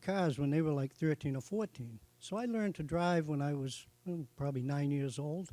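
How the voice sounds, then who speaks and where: A man with a Boston accent speaks at a fairly high pitch. His tone is dark and mellow, with ordinary pitch variation. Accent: Boston-area New England. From Massachusetts (Norfolk). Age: 70s. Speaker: racing hall of fame inductee. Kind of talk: acceptance speech.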